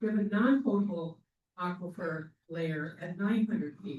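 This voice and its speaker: A man's high voice with an American accent and ordinary pitch variation. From US Midwest, Rockford, Illinois. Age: 60s. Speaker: local resident and activist. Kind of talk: public comment at community meeting. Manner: emphatic.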